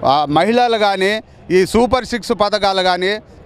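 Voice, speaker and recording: This man speaks with fairly even intonation. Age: old. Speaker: local party worker. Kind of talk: street interview. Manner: halting, many restarts.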